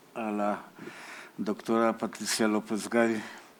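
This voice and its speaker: Speaking very slowly, a man with a Polish accent has a bright, sharp tone. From Poland. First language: Polish (speaking Spanish). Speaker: literature professor. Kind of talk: conference talk.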